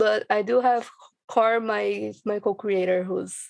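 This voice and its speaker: A woman speaks with a Brazilian Portuguese accent. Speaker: podcast creator and voice actor. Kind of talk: casual chat.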